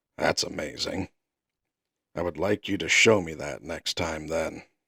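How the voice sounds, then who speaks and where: A man puts on a character voice, raspy and very deep, low in pitch. He talks at a moderate pace. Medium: read story.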